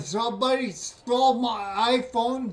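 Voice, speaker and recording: Over noticeable background noise, a man speaks loudly at a very slow pace. His pitch is extremely high, with ordinary pitch variation. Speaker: scam baiter with ataxia. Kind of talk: phone call. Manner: slurred, sounds drunk.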